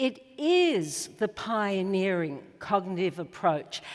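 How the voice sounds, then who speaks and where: Speaking at a fairly slow pace, a woman with an Australian accent moves through very wide pitch swings. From Australia, Melbourne. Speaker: psychologist. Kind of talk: conference talk.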